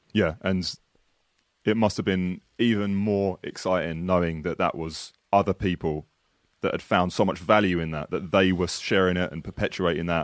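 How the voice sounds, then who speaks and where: This man's voice is pitched very deep and low. He speaks at a moderate pace with fairly even intonation. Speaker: podcast host. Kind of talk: casual interview chat. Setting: video call.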